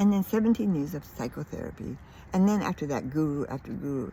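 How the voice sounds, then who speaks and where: A woman speaks with lively intonation. Her voice is somewhat breathy. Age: 80s+. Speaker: spiritual vlogger. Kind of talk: personal testimony. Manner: halting.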